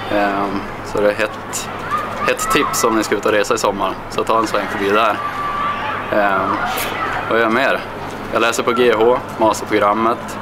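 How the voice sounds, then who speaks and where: Loud background noise sits behind a man speaking at a moderate pace. He leaves long, frequent pauses. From Kramfors, Höga kusten, northern Sweden. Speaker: fitness coach. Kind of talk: interview answer. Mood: friendly, relaxed. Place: stadium.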